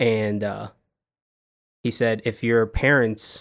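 A man with an American accent speaks in a medium-pitched voice with monotone, flat intonation. The recording is very clean, and the background is silent. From US Northeast, Long Island, New York. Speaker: photographer and videographer. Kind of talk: casual interview.

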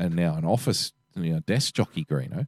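A man speaks in an Australian accent, the sound dry and close with no echo. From Australia, Western Sydney. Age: 40s. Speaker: podcast co-host. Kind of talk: casual chat.

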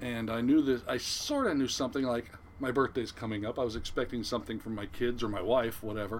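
With an American accent, a man talks at a very fast pace in a medium pitch, his intonation fairly even, over noticeable background noise. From Southern California. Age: 60s. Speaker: retired fishing boat captain. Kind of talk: casual interview, storytelling.

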